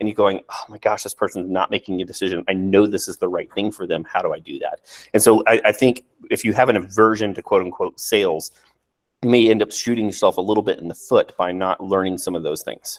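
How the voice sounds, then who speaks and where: A man talks at a very fast pace. The sound is dry and close with no echo. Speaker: real estate agent. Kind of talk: casual chat. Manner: halting.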